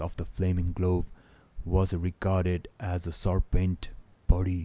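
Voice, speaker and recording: A man with a non-native accent speaks in a very deep, low voice with a dark, mellow tone and flat, monotone intonation. His pace is fairly slow, and the recording is very clean with a silent background. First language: not English. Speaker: book reader. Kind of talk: reading aloud. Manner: halting.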